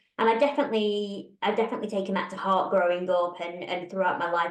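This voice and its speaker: A woman with a British accent speaks at medium pitch with ordinary pitch variation. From UK. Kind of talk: interview conversation. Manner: animated.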